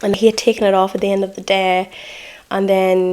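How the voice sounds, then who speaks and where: A woman with an Irish accent speaks at a moderate pace and medium pitch in a relaxed tone. Noticeable background noise is present. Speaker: makeup artist. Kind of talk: casual makeup tutorial talk to camera. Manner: chatty, relaxed.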